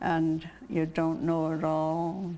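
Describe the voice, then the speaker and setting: Very slowly, a woman talks in a Maine accent, her fairly low voice dark and mellow in tone. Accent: Maine, New England. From Portland, Maine. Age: 80s+. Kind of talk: interview answer.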